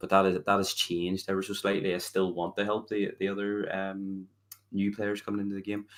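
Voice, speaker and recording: A man with a fairly low pitch speaks at a moderate pace. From Northern Ireland, Belfast. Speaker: game streamer. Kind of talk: podcast interview.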